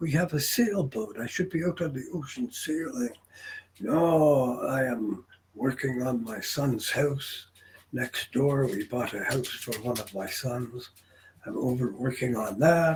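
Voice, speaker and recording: Background noise is noticeable as a man talks at a fairly slow pace. His pitch is medium, with ordinary variation. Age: 70s. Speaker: retired businessman and English tutor. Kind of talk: casual chat. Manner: conversational with hesitations.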